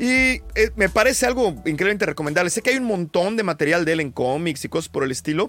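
A man with a high voice talks at a very fast pace, barely pausing, his pitch swinging very widely. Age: 40s. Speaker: podcast panelist. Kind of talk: casual chat.

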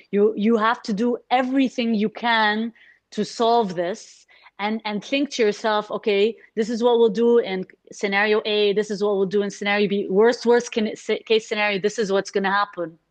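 A woman with an Arabic accent at a moderate pace, her intonation fairly even. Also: fairly high pitch for a woman. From Kuwait, Egyptian family. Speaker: entrepreneur, NGO founder. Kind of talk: casual interview.

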